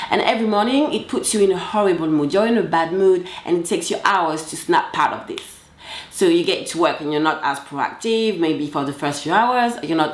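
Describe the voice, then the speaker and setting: A woman's fairly low voice with a French accent and lively intonation, amid audible room echo and noticeable background noise. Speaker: confidence coach. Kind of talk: motivational talk to camera. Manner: casual, direct.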